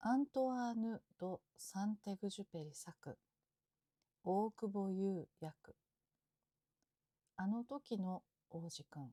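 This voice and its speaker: At a very slow pace with long, frequent pauses, a woman speaks at medium pitch in a dark, mellow, calm tone, somewhat breathy, with lively intonation. The sound is dry and close, with no echo. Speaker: Japanese teacher. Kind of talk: sleep story. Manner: calm, slow, natural.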